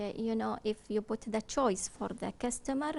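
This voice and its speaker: This woman has a Kuwaiti accent. Her voice sits at a fairly high pitch. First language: Arabic. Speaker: business consultant. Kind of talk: TV interview. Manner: halting.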